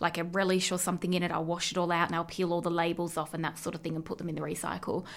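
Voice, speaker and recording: A woman speaks with an Australian accent. The recording is very clean, with a silent background. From Australia, Central West New South Wales. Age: 20s. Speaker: podcast co-host. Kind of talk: casual chat.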